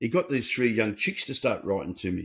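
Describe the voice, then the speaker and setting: A man's pitch swings very widely as he speaks at a fairly quick pace. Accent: Australian. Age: 70s. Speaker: recovery coach and author. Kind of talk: podcast interview. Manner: animated.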